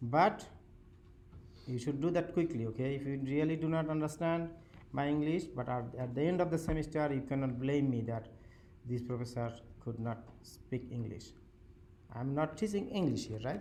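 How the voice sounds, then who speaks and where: The voice is dark and mellow, moving at a moderate pace with long, frequent pauses. Pitch varies an ordinary amount, and the room echo is audible. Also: man, fairly high pitch for a man. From Bangladesh. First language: Bengali. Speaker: university professor. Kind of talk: lecture. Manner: halting.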